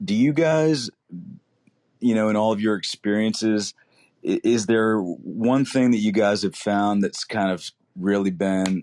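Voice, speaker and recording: A man at a fairly slow pace, ordinary pitch variation, dry and close sound with no echo, quiet background. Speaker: caller asking a question. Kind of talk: casual Q&A on audio chat. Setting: audio chat room app. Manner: halting, many fillers.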